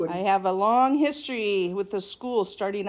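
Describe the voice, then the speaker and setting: In an American accent, a woman uses an ordinary speaking voice, medium in pitch with ordinary pitch variation, at a fairly slow pace on a very clean recording with a silent background. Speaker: school alumna. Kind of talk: interview, reminiscing.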